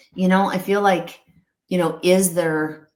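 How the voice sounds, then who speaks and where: A woman speaks at a medium pitch with fairly even intonation. Room echo can be heard around her. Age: 60s. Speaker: holistic veterinarian and pet company founder. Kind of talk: casual interview conversation. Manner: halting, many repetitions and fillers.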